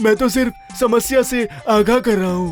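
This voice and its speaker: A cartoonish character voice at a fairly high pitch and fairly quick pace, with clear music in the background. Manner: stammering, jittery.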